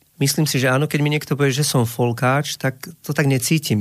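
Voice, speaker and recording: At a moderate pace, a man with a medium pitch and fairly even intonation speaks in an unremarkable speaking voice. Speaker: singer-songwriter. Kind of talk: radio interview. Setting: radio studio.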